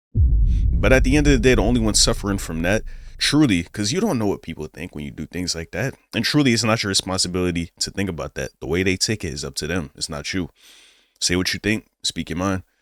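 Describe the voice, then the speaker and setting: Very fast and very deep, a man talks with vocal fry and very wide pitch swings, on a very clean recording with a silent background and a dry, close sound with no echo. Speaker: reaction YouTuber. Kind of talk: casual reaction commentary. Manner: stutters.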